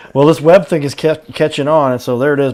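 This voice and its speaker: A man with a plain, everyday voice and a fairly high pitch speaks at a fairly quick pace, with ordinary pitch variation. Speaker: talk show host. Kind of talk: local business interview host.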